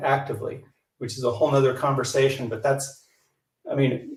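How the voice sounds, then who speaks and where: A man's somewhat breathy voice at a moderate pace, with audible room echo. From US, rural Colorado. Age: 60s. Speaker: yoga instructor. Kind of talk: interview, explaining exercises.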